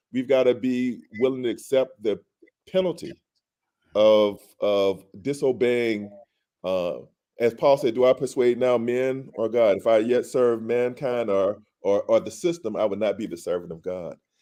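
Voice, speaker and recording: This voice has a dark, mellow tone and an American accent. It moves at a moderate pace with ordinary pitch variation. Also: man, medium pitch for a man. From Alabama, US South. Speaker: physician and activist. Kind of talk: casual chat.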